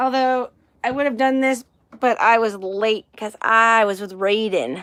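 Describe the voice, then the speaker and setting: In a very clean recording with a silent background, a woman speaks in a raised, projected voice with a bright, sharp, animated tone. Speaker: livestream host. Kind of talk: casual chat. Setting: live stream. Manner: loud.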